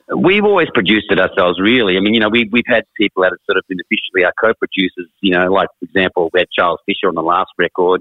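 A man with an Australian accent at a very fast pace, hardly any pauses. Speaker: rock musician. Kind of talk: casual chat.

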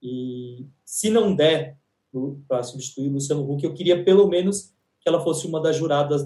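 Somewhat breathy male voice, dark and mellow, at a moderate pace with ordinary pitch variation. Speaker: entertainment podcast co-host. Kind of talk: casual chat.

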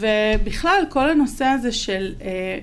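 In audible room echo, a woman talks at a fairly slow pace with lively intonation. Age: 40s. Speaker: marketing content manager. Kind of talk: interview.

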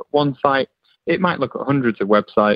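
A man talks in an ordinary speaking voice. His pitch sits in the medium range and varies in an ordinary way. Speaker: tech executive. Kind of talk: interview explanation.

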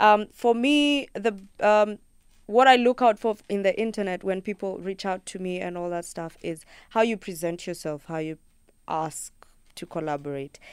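A woman with a Kenyan accent speaks at a moderate pace and medium pitch with lively intonation, on a very clean recording with a silent background. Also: big swings in loudness. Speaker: singer-songwriter. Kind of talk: radio interview. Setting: studio.

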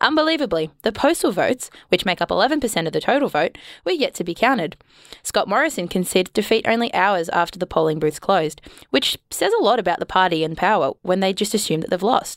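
A woman with an Australian accent talks very fast at a medium pitch, her pitch swinging very widely. The recording is very clean with a silent background, dry and close with no echo. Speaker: radio co-host. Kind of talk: comedy news show.

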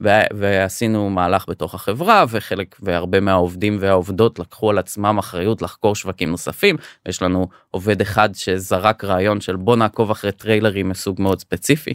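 Captured as a very clean recording with a silent background, a man speaks in a normal speaking voice at a fairly low pitch and a moderate pace. The sound is dry and close with no echo, and his intonation is fairly even. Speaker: startup founder and CEO. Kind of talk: podcast interview.

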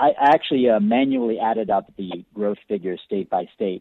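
Ordinary pitch variation marks a man's unremarkable speaking voice, delivered at a fairly quick pace. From Buffalo, New York. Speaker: former diplomat and author. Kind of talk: interview.

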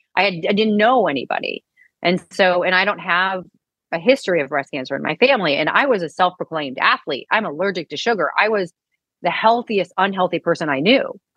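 In a plain, everyday voice, a woman with an American accent speaks at a medium pitch and a fairly quick pace, her intonation lively. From US Midwest, St. Louis. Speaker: author and speaker, cancer survivor. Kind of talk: interview.

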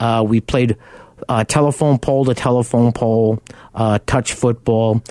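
The voice has a Long Island accent and a dark, mellow tone, with fairly even intonation at a moderate pace. The sound is dry and close, with no echo. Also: man. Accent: New York (Long Island). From Long Island, New York. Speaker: car buying advocate and radio host. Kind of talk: radio talk show monologue. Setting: radio studio.

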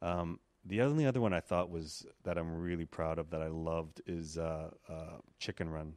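A Quebec-accented voice at a moderate pace, fairly even in intonation, over a quiet background. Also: man, very deep, low pitch for a man. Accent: Canadian French-accented English. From Quebec, Canada. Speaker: animator. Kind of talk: casual chat.

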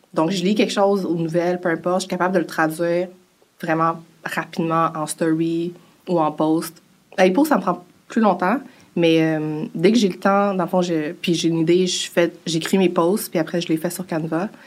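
A woman speaks with a Quebec accent in a fairly low voice. Her intonation stays fairly even. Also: moderate pace. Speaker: personal finance influencer. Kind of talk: interview.

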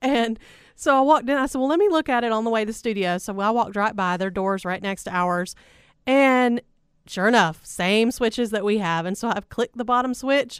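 A woman talks in an ordinary speaking voice at a fairly high pitch, with ordinary pitch variation and a fairly quick pace, in a very clean recording with a silent background. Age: 30s. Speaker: radio host. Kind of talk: casual chat. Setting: studio.

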